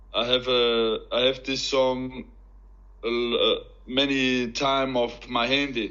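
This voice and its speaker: In an Austrian accent, a man speaks at medium pitch and a fairly slow pace with monotone, flat intonation. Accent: German-speaking Austrian accent in English. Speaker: professional MMA fighter, convert. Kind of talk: interview testimony. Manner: halting, broken English.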